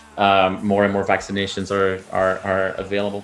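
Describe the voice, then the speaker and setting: This man speaks at a moderate pace against noticeable background noise. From Belgium. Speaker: music interviewer, channel host. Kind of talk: interview.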